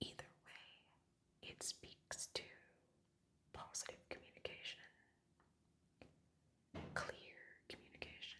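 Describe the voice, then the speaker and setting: The speaker whispers at a fairly slow pace. Long, frequent pauses break up the speech. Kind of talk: ASMR tarot reading. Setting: recorded in Costa Rica with jungle birds and occasional traffic noise. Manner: soft whispers.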